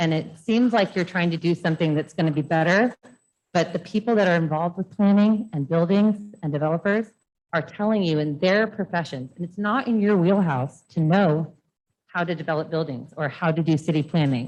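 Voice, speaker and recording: With an American accent, a woman speaks at a fairly quick pace in a fairly low voice with ordinary pitch variation. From Ojai, California. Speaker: public commenter, designer. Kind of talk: public comment at board meeting. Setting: school board meeting. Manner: fast.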